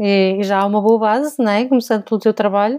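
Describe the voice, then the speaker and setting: A woman speaks at a fairly high pitch with a dark, mellow tone. The sound is dry and close, with no echo. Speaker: podcast co-host, museum information specialist. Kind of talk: casual chat.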